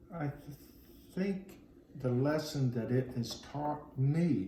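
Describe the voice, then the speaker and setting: A man's medium-pitched, somewhat breathy voice with a dark, mellow tone and lively intonation, at a very slow pace, with audible room echo. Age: 60s. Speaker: Vietnam-era interviewee. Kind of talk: interview. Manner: halting.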